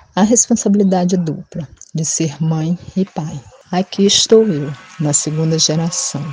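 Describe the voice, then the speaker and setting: A woman with an unremarkable speaking voice talks at a fairly slow pace, her pitch fairly low and its variation ordinary. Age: 40s. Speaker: single mother. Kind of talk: personal testimony.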